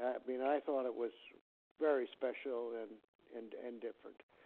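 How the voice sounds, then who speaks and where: The speaker is a man. His intonation is fairly even. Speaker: family friend leaving a message. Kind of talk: recorded voicemail greeting. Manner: halting.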